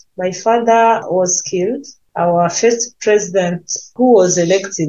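Very slowly, a woman speaks in a medium pitch. Her voice is somewhat breathy. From Burundi. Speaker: peace activist and pastor. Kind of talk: interview. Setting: video call. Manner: halting.

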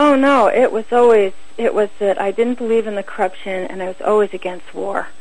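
Against noticeable background noise, a woman speaks at a fairly quick pace and fairly high pitch with ordinary pitch variation. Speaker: war tax resister. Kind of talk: casual interview.

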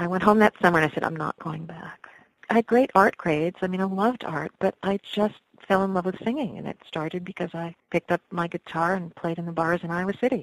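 A woman with an American accent, fairly low pitch, ordinary pitch variation, big swings in loudness, a very fast pace, and a dry, close sound with no echo. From New York (Westchester area). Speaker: folk singer. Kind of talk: interview.

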